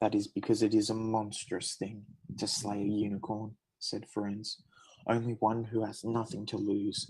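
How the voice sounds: The words come in a natural reading voice. Someone is reading them out.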